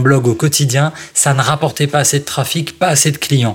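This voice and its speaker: A man with a fairly high pitch and ordinary pitch variation, talking at a fairly quick pace over noticeable background noise. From France, Strasbourg (Alsace). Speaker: copywriter and author. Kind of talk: interview. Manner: animated.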